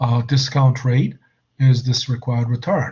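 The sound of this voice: Speaking slowly, a man with a medium pitch has a slightly mellow tone.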